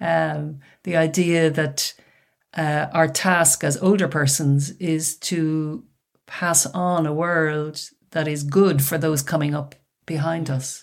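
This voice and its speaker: A woman's very deep, low voice with an Irish accent, very slow with fairly even intonation, on a very clean recording with a silent background. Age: 60s. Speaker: author and retired academic. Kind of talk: interview.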